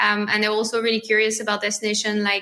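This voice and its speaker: A woman speaks with a French accent in a fairly high voice. Noticeable background noise is heard. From France. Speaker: marketing lead at a family travel company. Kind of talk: podcast interview.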